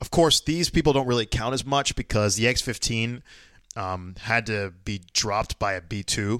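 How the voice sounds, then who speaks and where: A man with an unremarkable speaking voice talks at a moderate pace, medium pitch and ordinary pitch variation. The recording is very clean, with a silent background and a dry, close sound with no echo. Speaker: podcast co-host. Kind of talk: casual chat.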